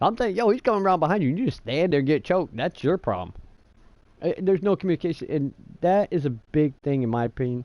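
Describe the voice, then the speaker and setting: A loud man with an American accent, fairly high pitch, very wide pitch swings and a very fast pace, in a dry, close sound with no echo over a quiet background. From New York. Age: 30s. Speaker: gaming streamer. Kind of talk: casual chat. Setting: live stream.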